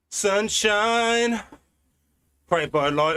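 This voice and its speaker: Bright and sharp in tone, a man with a British accent speaks with ordinary pitch variation. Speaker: cycling streamer. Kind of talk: live stream commentary while riding. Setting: indoors on turbo trainer. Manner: casual, chatty.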